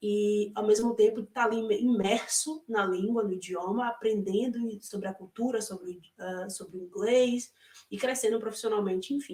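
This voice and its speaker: A woman with a fairly high pitch speaks at a moderate pace, her intonation fairly even while her loudness swings widely. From Brazil, Salvador, Bahia (Northeast). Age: 30s. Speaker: former au pair, interviewee. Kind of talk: interview. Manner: hesitant, many fillers.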